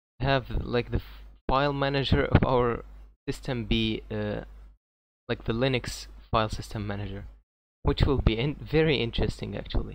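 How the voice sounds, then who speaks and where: A man with a non-native accent speaks at a moderate pace. He leaves long, frequent pauses. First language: not English. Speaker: tech YouTuber. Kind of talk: tech news video. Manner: halting.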